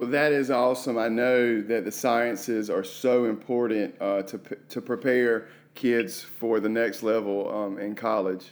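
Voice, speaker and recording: Speaking at a fairly slow pace, a man with an unremarkable speaking voice keeps a medium pitch and fairly even intonation. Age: 30s. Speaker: podcast host and assistant principal. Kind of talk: interview podcast.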